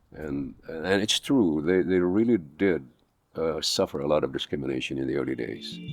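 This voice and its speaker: A man's very deep, low voice at a moderate pace, lively in intonation, with music in the background. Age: 80s+. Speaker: actor; pastor. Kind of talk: interview answer. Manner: casual, conversational.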